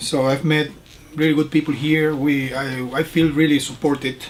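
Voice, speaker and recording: Over noticeable background noise, a man talks in a fairly high pitch. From Panama. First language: Spanish. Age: middle-aged. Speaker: fellowship student and teacher. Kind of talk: interview. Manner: halting.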